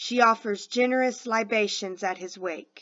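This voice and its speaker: A woman's put-on character voice, fairly high and at a fairly slow pace. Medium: read story. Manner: aggressive, commanding.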